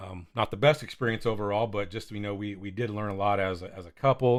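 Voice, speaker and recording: Speaking in an American accent, a man has a fairly low pitch and fairly even intonation at a fairly quick pace. The recording is very clean with a silent background. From California. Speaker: pastor and podcast co-host. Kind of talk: casual chat. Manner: mumbling.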